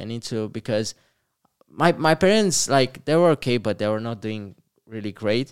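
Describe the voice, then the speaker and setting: Man with a Romanian accent, medium pitch, lively intonation and a moderate pace. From Romania, Moldova region (Bacau area). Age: 20s. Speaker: entrepreneur. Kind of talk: interview. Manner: halting, many repetitions.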